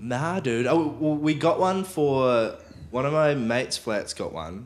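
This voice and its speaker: A man speaks with a New Zealand accent. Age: 20s. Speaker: musician. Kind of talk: casual chat.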